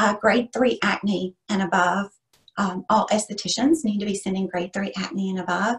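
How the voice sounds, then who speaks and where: A woman of medium pitch speaks with vocal fry and fairly even intonation. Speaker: esthetician and instructor. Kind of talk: webinar teaching.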